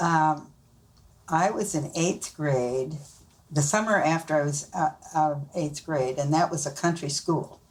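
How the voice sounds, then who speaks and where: A woman with a Midwestern US accent speaks fairly slowly at a very deep, low pitch, her intonation fairly even. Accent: rural Midwestern American. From Nebraska, rural US Midwest. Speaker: grandmother being interviewed. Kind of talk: family interview, storytelling.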